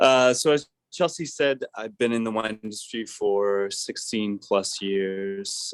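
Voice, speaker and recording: There are hardly any pauses as a man speaks at a very slow pace. He has a northeastern US accent. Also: medium pitch for a man, ordinary pitch variation. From France, Alsace. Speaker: wine shop manager. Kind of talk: virtual wine tasting presentation.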